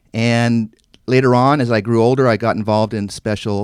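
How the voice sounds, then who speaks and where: With an American accent, a man is heard in a very clean recording against a silent background. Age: 50s. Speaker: congressional candidate. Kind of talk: radio interview.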